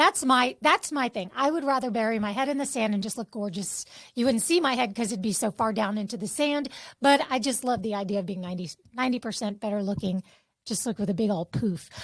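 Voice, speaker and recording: Somewhat breathy, a woman talks at a very fast pace and a fairly high pitch with lively intonation. The recording is very clean, with a silent background. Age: 50s. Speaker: podcast co-host. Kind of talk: casual chat.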